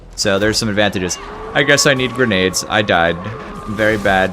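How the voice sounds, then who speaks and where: Music plays in the background as a man speaks. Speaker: game streamer. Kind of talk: live gameplay commentary. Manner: animated.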